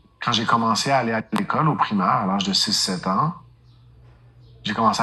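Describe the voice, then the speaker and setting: A man's fairly low pitch, bright, sharp tone, lively intonation and moderate pace. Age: 40s. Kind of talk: testimony. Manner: hesitant fillers.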